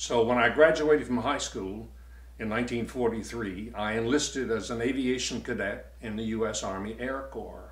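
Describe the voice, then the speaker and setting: Vocal fry with ordinary pitch variation and audible room echo. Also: man, medium pitch for a man, moderate pace. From US South, Virginia. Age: 80s+. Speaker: war veteran. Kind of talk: testimony.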